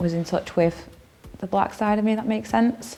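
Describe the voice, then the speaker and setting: A woman with a Manchester accent speaks with lively intonation and a dark, mellow tone. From northern England, Stockport (Reddish), Greater Manchester. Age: 30s. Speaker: counselling student. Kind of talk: personal testimony interview. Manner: hesitant, many fillers.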